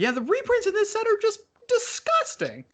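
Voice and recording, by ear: This man puts on a squeaky character voice at an extremely high pitch. He keeps to a moderate pace.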